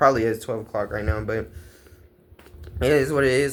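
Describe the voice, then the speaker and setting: A man speaks with ordinary pitch variation. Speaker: vlogger. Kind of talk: casual vlog monologue. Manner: hesitant, many fillers.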